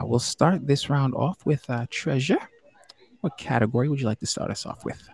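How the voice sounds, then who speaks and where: The sound is dry and close with no echo, though noticeable background noise is present. A man speaks fairly quickly at a fairly high pitch, with ordinary pitch variation. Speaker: podcast host. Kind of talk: live-streamed game show chat. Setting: live stream. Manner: warm, hesitant with frequent fillers.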